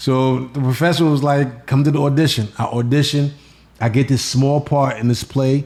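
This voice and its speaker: A man with a New York accent speaks at a moderate pace with very even loudness. His intonation is monotone and flat. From New York City (Bronx, Queens). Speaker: comedian. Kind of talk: casual chat.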